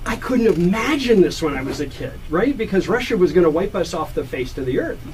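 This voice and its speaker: Over noticeable background noise, a man with an American accent and a high pitch talks at a fairly quick pace, his pitch swinging very widely. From United States. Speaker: radio host. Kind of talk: radio interview.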